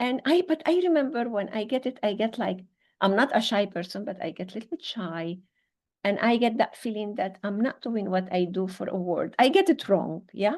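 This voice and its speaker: With a plain, everyday voice, a woman speaks at a moderate pace in a fairly high pitch with lively intonation. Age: 60s. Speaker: psychotherapist and leadership mentor. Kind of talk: interview conversation.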